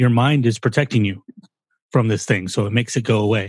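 A man speaks at a very fast pace in a somewhat breathy voice of medium pitch. The recording is very clean, with a silent background. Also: dry, close sound with no echo. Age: 40s. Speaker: podcast co-host. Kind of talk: casual chat.

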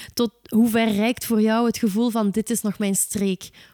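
In a very clean recording with a silent background and a dry, close sound with no echo, a woman speaks at a fairly slow pace, her fairly high voice dark and mellow in tone. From south of Belgian Limburg. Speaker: podcast host. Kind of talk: interview.

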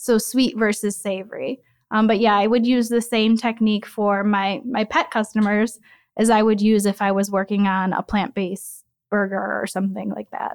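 With an American accent, a woman speaks in a plain, everyday voice at a moderate pace and fairly high pitch. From US Midwest, Chicago southwest suburbs. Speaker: flavorist. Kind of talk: interview.

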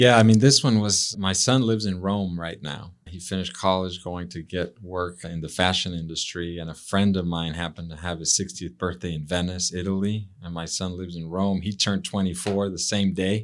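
A man with a Spanish accent, his pitch very deep and low, at a fairly quick pace with hardly any pauses, fairly even intonation and big swings in loudness, on a very clean recording with a silent background. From Mexico City, Mexico. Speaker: real estate CEO guest. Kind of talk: casual interview conversation.

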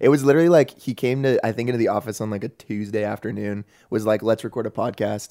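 A man with an American accent speaks very fast at a medium pitch, his tone dark and mellow with ordinary pitch variation. The sound is dry and close, with no echo. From Southern California. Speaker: youth pastor. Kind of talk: casual chat.

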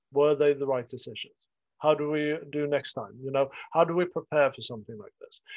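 A man with a plain, everyday voice, fairly high in pitch, at a fairly quick pace with big swings in loudness. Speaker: podcast host. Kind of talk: casual group discussion.

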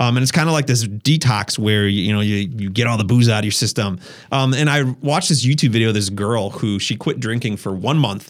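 This man speaks fairly quickly with hardly any pauses, in an Upper Midwest US accent. His pitch sits in the medium range. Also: ordinary pitch variation. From Wisconsin. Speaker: YouTuber and photographer. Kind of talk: casual chat. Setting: studio.

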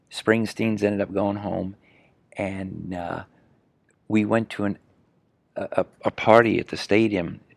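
The delivery is fairly slow and monotone, with flat intonation and long, frequent pauses. The sound is dry and close with no echo. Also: man, fairly low pitch for a man. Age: 60s. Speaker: horse riding trainer. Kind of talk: interview. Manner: halting, repeats words.

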